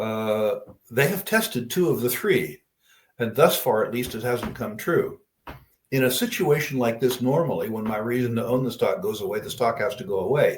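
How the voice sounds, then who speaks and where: A man's somewhat breathy voice at a medium pitch, with lively intonation and a moderate pace. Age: 70s. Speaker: investor answering audience questions. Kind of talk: Q&A on investing.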